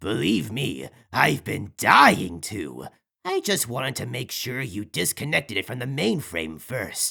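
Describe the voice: A man's put-on character voice at a medium pitch, bright and sharp with a slightly husky edge and vocal fry, slow, with very wide pitch swings, on a very clean recording with a silent background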